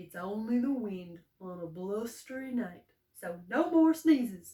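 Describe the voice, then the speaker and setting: In a put-on character voice, a woman speaks at a fairly high pitch. Her pace is fairly slow. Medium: read story.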